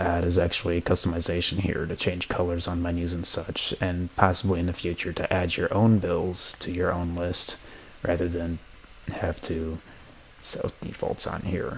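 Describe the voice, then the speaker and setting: A man's very deep, low voice in flat monotone at a moderate pace, with noticeable background noise. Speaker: college student. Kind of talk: software tutorial walkthrough. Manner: casual, with some stuttering.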